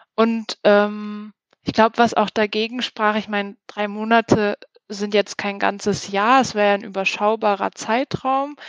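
A woman's fairly high, monotone voice, flat in intonation, at a fairly slow pace, with a dry, close sound and no echo. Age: 30s. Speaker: team leader in a large corporation. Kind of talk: interview.

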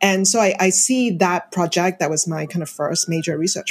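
Somewhat breathy, a woman speaks at medium pitch. Her pace is moderate and her pitch varies in an ordinary way. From Hong Kong. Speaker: professor. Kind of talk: interview.

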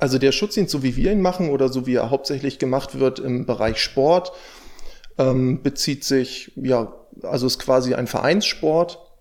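At a moderate pace, a man with a medium pitch speaks in an ordinary speaking voice with ordinary pitch variation. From northern Germany, near Stade. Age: 20s. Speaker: dog trainer. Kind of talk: interview.

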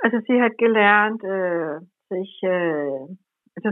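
A woman with a Danish accent speaks at a very slow pace. Her intonation is lively. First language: Danish (speaking German). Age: 60s. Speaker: journalist and tour guide. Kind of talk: interview conversation. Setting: remote call over the internet.

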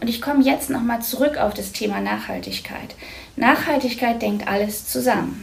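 Amid noticeable background noise and audible room echo, a woman talks at a fairly slow pace. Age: 50s. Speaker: psychologist and mayoral candidate. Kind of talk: interview.

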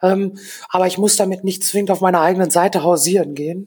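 A woman speaks at medium pitch with a dark, mellow tone. Her intonation is monotone and flat. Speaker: freelance designer and DJ. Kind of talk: casual chat.

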